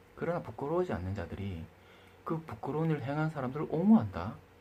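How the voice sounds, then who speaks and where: A somewhat breathy man's voice, dark and mellow in tone, fairly quick, with very wide pitch swings. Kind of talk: opinion monologue. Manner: hesitant with fillers.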